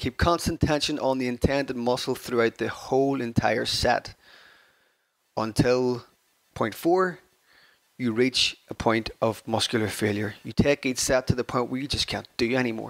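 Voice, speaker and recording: In an Irish accent, a man speaks at a medium pitch and moderate pace. The sound is dry and close, with no echo. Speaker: fitness podcaster. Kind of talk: solo podcast talk. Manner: energetic.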